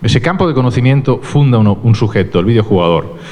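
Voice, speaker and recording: A man's voice moves through very wide pitch swings. Audible room echo and noticeable background noise fill the recording. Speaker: university researcher. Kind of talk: lecture.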